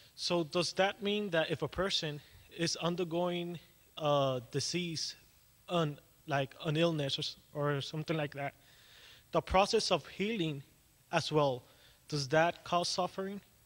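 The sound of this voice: Fairly high-pitched and fairly bright, a man speaks at a fairly slow pace with long, frequent pauses. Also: ordinary pitch variation.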